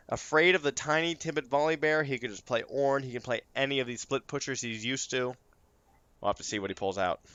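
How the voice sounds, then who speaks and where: Speaking very fast, a man with a fairly high pitch shows ordinary pitch variation. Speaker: esports caster. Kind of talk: live commentary. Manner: animated.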